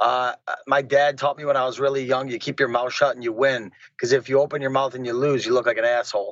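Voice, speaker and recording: At a very fast pace, a man talks in an American accent at medium pitch with monotone, flat intonation. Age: 30s. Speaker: MMA fighter. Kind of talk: interview.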